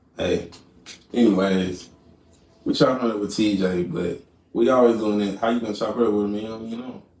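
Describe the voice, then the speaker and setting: The speaker has an American accent and fairly even intonation, moving at a fairly quick pace. Long, frequent pauses break it up, and room echo is audible. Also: man, fairly low pitch for a man. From Texas, Dallas suburbs. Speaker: guest interviewer. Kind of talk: casual interview.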